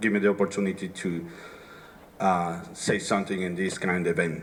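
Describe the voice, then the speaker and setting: Noticeable background noise is present throughout. The speaker is a man. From Dominican Republic. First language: Spanish. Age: 40s. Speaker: city councilman. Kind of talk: rally speech.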